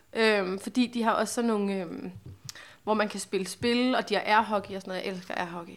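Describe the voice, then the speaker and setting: An unremarkable speaking voice, fairly quick in pace. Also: woman, medium pitch for a woman. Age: 20s. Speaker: podcast host. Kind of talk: casual chat.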